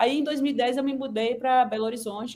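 A woman talks at a fairly quick pace in an ordinary speaking voice. Her fairly high pitch has ordinary variation. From Northeast Brazil (Sergipe/Alagoas). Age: 40s. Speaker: physician, nutrition specialist. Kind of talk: casual interview.

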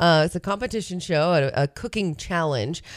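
Here a woman has a plain, everyday voice, fairly low in pitch, with ordinary pitch variation at a moderate pace. The sound is dry and close with no echo, and the recording is very clean with a silent background. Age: 30s. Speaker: radio host. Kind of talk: casual chat. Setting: studio.

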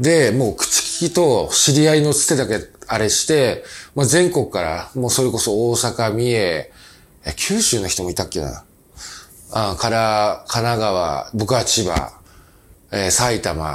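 Speaking at a fairly slow pace with long, frequent pauses, a medium-pitched man makes very wide pitch swings. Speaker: company president and podcast host. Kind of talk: casual monologue. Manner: many fillers and hesitations.

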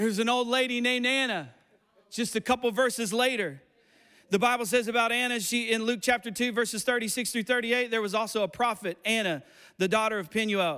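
Raised and projected, a man's animated voice sits at an extremely high pitch with a bright, sharp tone, ordinary pitch variation, and a fairly quick pace. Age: 40s. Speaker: pastor. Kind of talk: sermon. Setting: church with congregation.

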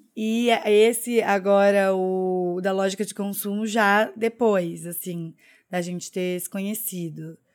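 A woman speaks at a medium pitch with fairly even intonation and a very slow pace. Her loudness swings widely, and the recording is very clean with a silent background. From Curitiba, southern Brazil. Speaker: podcast co-host. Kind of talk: casual chat.

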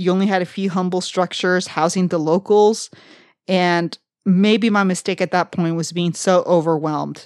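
Delivered in a South Texas accent at a moderate pace, the monotone, flat voice sits in a very clean recording with a silent background and a dry, close sound with no echo. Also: woman, medium pitch for a woman. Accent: South Texas American English. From South Texas (Brownsville). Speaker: podcast co-host. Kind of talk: casual travel storytelling.

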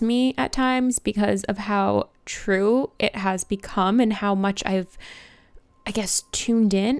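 A woman talks at a very slow pace with ordinary pitch variation. The recording is very clean, with a silent background. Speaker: wellness podcast host. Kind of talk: solo motivational monologue.

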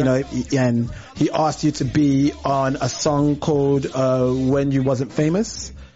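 Noticeable background noise accompanies a man whose fairly high voice keeps a fairly even intonation. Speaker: podcast host. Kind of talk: casual interview chat. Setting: live online video stream.

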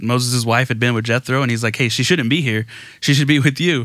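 Bright and sharp in tone, a man talks with a Texan accent. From Texas Gulf Coast. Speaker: pastor. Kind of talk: casual interview.

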